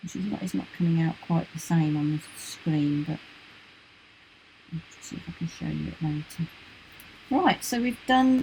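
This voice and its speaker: A soft-spoken woman with a British accent, fairly low in pitch and at a fairly slow pace. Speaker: art teacher. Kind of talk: tutorial.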